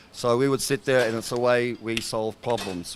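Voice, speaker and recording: This man speaks at a medium pitch with an Australian accent and fairly even intonation. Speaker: fitness trainer. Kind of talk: interview.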